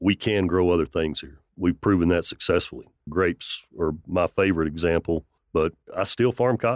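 Over a quiet background, a man with a West Texas accent and a very deep, low pitch speaks at a moderate pace with ordinary pitch variation, in a dry, close sound with no echo. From West Texas, near Lubbock. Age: 50s. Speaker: farmer and winemaker. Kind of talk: radio interview.

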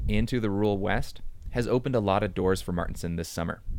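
A man with an American accent speaks at a fairly quick pace with lively intonation. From small town in Wisconsin. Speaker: public radio reporter and podcast host. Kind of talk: narrated audio documentary.

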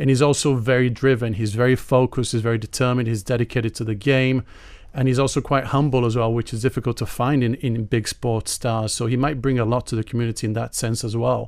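Speaking at a very fast pace, a man keeps his medium pitch monotone and flat. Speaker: soccer journalist. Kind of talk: radio panel discussion. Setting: radio studio.

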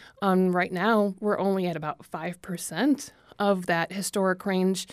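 A woman has a normal speaking voice, medium in pitch, at a moderate pace. The recording is very clean, with a silent background. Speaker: environmental policy manager. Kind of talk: radio interview.

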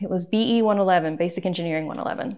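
A woman with an American accent uses an ordinary speaking voice at a medium pitch, with ordinary pitch variation and a fairly quick pace over a quiet background. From US South, East Tennessee. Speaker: photographer and artist. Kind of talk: interview.

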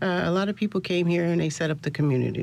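Over noticeable background noise, a woman with an American accent talks at a very fast pace with ordinary pitch variation. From Buffalo, New York. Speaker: local historian. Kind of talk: interview.

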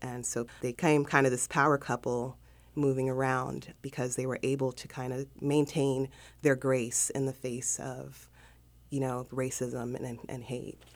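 A woman with an American accent has a very deep, low pitch. She speaks at a fairly slow pace with monotone, flat intonation. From South Central Los Angeles. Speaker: interview guest. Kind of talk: interview.

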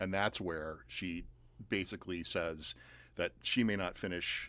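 Against a quiet background, a man with an American accent talks in a very deep, low pitch, his tone bright and sharp but his intonation monotone and flat. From US South, outside Atlanta. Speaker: playwright and professor. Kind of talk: interview. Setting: studio.

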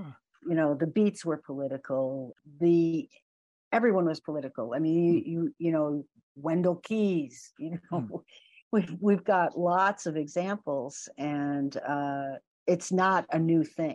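Against a quiet background, a woman speaks fairly slowly in a fairly low voice with ordinary pitch variation. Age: 60s. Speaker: poet. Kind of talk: interview.

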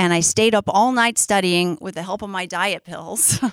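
A woman's ordinary speaking voice at a moderate pace, in a very clean recording with a silent background. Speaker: storyteller. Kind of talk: live storytelling. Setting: stage with audience.

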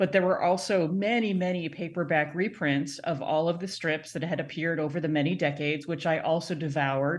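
With a normal speaking voice, a woman talks at a fairly quick pace with hardly any pauses. Her pitch is fairly low and her intonation fairly even. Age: 40s. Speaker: professor of children's literature. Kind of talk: interview.

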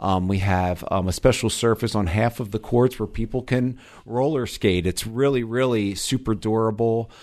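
An unremarkable speaking voice with an American accent moves at a fairly slow pace. Its intonation is fairly even. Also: man. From US East Coast, Delaware. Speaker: parks district executive director. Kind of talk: interview. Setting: studio.

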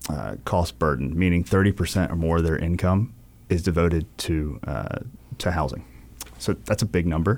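A man's very deep, low voice with a Southern US accent, at a moderate pace, in a very clean recording with a silent background. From eastern North Carolina (New Bern). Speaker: city council candidate, small business owner. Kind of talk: radio interview.

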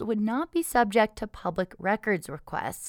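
A woman's medium-pitched, plain, everyday voice with lively intonation, dry and close with no echo, on a very clean recording with a silent background. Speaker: local public radio news host. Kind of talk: newsreading, scripted local radio newscast. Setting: radio studio. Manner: measured, even-paced newsreader delivery; clear, neutral, formal broadcast tone.

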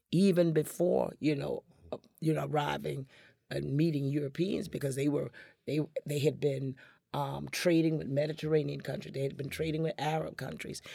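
With an American accent, a woman speaks at a very deep, low pitch in a dark, mellow tone. Her intonation is fairly even, with vocal fry. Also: moderate pace. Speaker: storyteller and performer. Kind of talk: radio interview. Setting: studio.

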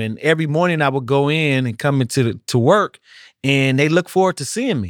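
A man speaks with lively intonation in an ordinary speaking voice. The recording is very clean, with a silent background. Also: dry, close sound with no echo. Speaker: incarcerated man. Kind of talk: casual conversation.

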